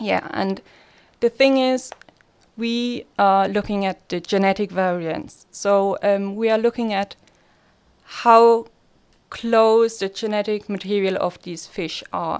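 Very slow and broken by long, frequent pauses, a woman's speech stays at medium pitch with fairly even intonation. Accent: Swiss German. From Switzerland, Basel. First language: Swiss German. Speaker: master's student. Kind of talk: casual chat.

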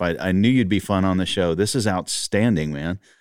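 With a Texan accent, a man speaks fairly quickly at a fairly low pitch and with fairly even intonation, in a very clean recording with a silent background. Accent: Texan Southern US. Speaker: podcast host. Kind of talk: interview conversation.

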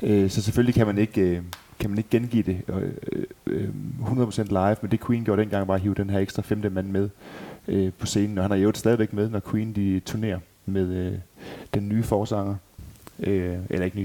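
Monotone and flat, a man speaks at a moderate pace and fairly low pitch. His tone is dark and mellow. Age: 30s. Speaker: tribute band member and podcast host. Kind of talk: casual chat.

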